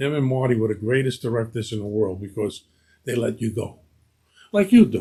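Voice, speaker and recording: A man with a Brooklyn accent talks at a fairly quick pace, his medium-pitched voice somewhat breathy with ordinary pitch variation. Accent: Brooklyn New York. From Brooklyn, New York (East New York). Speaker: actor. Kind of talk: casual interview chat. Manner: animated storytelling.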